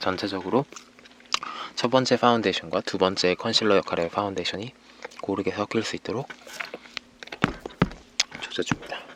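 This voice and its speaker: Over noticeable background noise, a man with a fairly low pitch talks at a fairly quick pace, using fairly even intonation and long, frequent pauses. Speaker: ASMR artist. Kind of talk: ASMR makeup roleplay, soft-spoken instructions.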